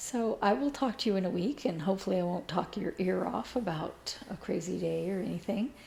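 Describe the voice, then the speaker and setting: Moving at a fairly quick pace with hardly any pauses, a woman speaks with lively intonation, a medium pitch, a dark, mellow tone and vocal fry. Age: 60s. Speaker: cross-stitch video blogger. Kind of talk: casual chat. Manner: hesitant, many fillers.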